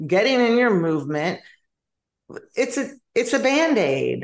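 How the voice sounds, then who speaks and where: Very wide swings in pitch run through the woman's speech. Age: 50s. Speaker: wellness and nutrition coach. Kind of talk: interview.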